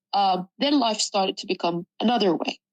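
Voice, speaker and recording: Recorded with a dry, close sound and no echo, a woman speaks at medium pitch with ordinary pitch variation in an Arabic accent. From Sudan. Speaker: journalism student. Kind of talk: personal testimony interview.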